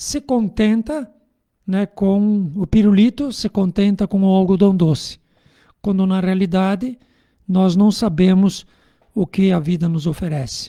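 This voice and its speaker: The speaker pauses long and often. The pace is fairly slow. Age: 60s. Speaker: spiritist radio speaker. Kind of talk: religious radio talk. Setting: radio studio. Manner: animated.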